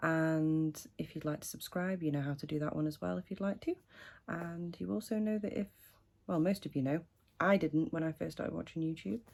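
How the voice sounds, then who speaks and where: A quiet woman's voice, very deep and low, with lively intonation at a fairly quick pace, in a very clean recording with a silent background. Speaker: fashion haul vlogger. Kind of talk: casual vlog try-on haul.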